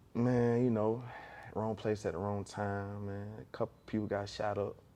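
In an American accent, a man speaks at a moderate pace with a fairly low pitch, a dark, mellow tone and ordinary pitch variation. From Augusta, Georgia. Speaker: rapper. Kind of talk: interview.

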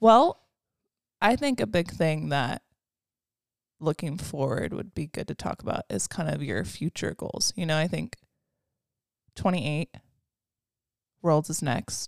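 A woman with a very deep, low pitch and vocal fry speaks fairly slowly with very wide pitch swings and long, frequent pauses, in a dry, close sound with no echo. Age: 20s. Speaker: podcast co-host. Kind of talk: casual chat.

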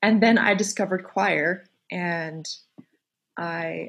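A woman with an American accent sounds somewhat breathy. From Colorado. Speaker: singer and podcast host. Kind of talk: casual interview chat.

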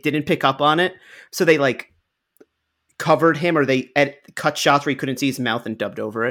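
A man talks at a fairly quick pace with a fairly high pitch and ordinary pitch variation. The recording is very clean, with a silent background. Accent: slight New York. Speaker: podcast co-host. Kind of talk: casual comedic movie discussion podcast.

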